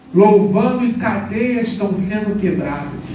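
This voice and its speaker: The delivery is fairly unhurried. Background noise is noticeable. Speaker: preacher. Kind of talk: sermon. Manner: animated.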